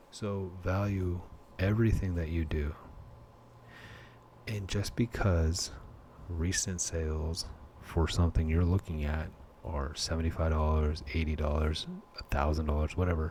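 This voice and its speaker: Whispering at a moderate pace, a man leaves long, frequent pauses. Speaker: collectibles hobbyist. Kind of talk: casual talk to camera. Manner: whispered.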